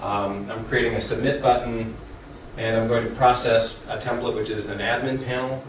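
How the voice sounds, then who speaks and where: Moderate-paced speech from a man, with audible room echo and noticeable background noise. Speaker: conference presenter on software development. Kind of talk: technical presentation. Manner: hesitant with fillers.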